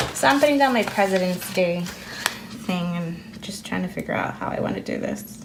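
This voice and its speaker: Talking at a very fast pace, a woman with a medium pitch and ordinary pitch variation is heard over noticeable background noise and audible room echo. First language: Spanish. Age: 30s. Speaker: planner vlogger. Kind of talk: casual chat. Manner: hesitant with fillers.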